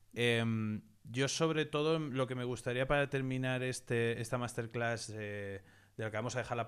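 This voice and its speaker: Male speech, fairly quick, with ordinary pitch variation. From Spain. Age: 30s. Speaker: investing educator and channel host; investing educator, channel host. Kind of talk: interview / online masterclass. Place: home room. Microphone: studio mic.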